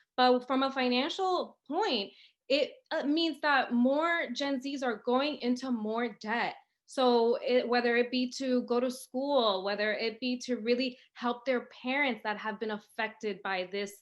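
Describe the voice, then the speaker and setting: A woman speaks with an American accent at a high pitch. Her pitch rises and falls in an ordinary way. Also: fairly slow pace. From Dominican Republic, raised in US. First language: Spanish. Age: 30s. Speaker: financial educator, founder. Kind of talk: interview.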